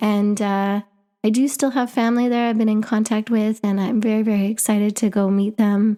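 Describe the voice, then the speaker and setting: In a very clean recording with a silent background, a woman with a Canadian accent speaks at a fairly quick pace in a fairly high pitch, her dark, mellow tone held in monotone, flat intonation at very even loudness. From Canada. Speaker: podcast host. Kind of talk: personal narrative podcast.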